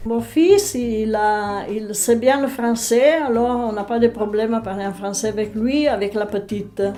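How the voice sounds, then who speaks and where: A woman's fairly high voice at a fairly slow pace, with fairly even intonation, hardly any pauses and noticeable background noise. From Val Pellice, Piedmont, Italy. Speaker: local resident. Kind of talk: interview testimony.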